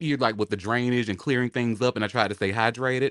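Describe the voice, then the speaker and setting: Recorded with a dry, close sound with no echo and a very clean, silent background, a man has a plain, everyday voice at a medium pitch with ordinary pitch variation. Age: 40s. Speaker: studio audience member. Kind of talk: casual chat.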